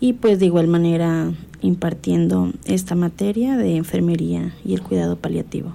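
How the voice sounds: A woman speaks at a moderate pace with a fairly low pitch and vocal fry. Her tone is dark and mellow, and her intonation fairly even.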